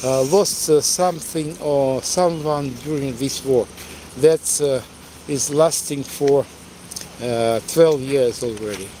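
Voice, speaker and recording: There is noticeable background noise as a man speaks. His pitch is fairly high and his pace very slow. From eastern Ukraine, Donetsk. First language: Russian. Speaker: tour guide. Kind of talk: live-stream walking tour. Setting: outdoors, city street. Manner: halting, many fillers.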